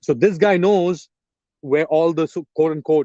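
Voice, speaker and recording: A man with an English accent, fairly high in pitch, with a dark, mellow tone and ordinary pitch variation, in a dry, close sound with no echo. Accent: English-sounding accent with Pakistani roots. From Pakistan, Karachi. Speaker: journalist and political commentator. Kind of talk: live stream Q&A. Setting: outdoors in a park, live stream. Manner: hesitant, many fillers.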